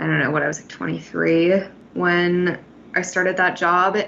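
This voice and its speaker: This woman has an unremarkable speaking voice, pitched fairly low. Her intonation stays fairly even. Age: 20s. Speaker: podcast co-host. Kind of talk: podcast interview.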